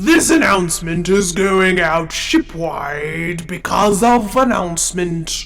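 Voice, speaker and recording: A man uses a put-on character voice pitched high, speaking at a fairly slow pace. Music plays in the background. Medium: audio drama. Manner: formal, measured.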